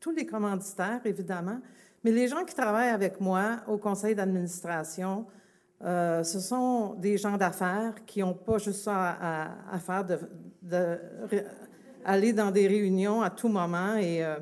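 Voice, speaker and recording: A fairly slow pace with ordinary pitch variation. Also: woman, medium pitch for a woman. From Quebec, Longueuil. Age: 60s. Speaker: festival organization president. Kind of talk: public speech. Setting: outdoor public event, broadcast live on radio. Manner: hesitant, many fillers.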